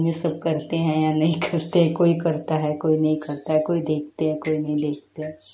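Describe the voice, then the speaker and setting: A woman's very deep, low-pitched voice with audible room echo. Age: 50s. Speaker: YouTube creator. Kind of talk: tutorial. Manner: halting.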